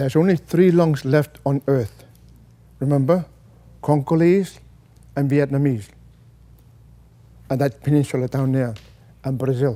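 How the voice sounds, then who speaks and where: A man with a fairly high pitch and a dark, mellow tone is speaking. He takes long, frequent pauses, and his pitch varies in an ordinary way. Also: moderate pace. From Greenland. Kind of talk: public talk to an audience.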